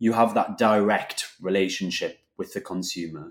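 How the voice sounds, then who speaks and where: An unremarkable speaking voice from a man, fairly low in pitch, with ordinary pitch variation and a moderate pace, on a very clean recording with a silent background. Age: 20s. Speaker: food company co-founder. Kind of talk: interview.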